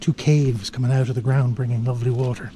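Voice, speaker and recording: Whispering with an Irish accent, a man sounds somewhat breathy. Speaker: outdoor travel vlogger. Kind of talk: walking tour vlog narration.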